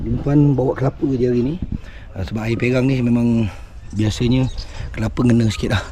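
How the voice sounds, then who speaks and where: Noticeable background noise sits under this man's voice. He talks at a very fast pace with ordinary pitch variation. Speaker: fishing vlogger. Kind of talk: casual vlog commentary. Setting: outdoors by a river. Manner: animated.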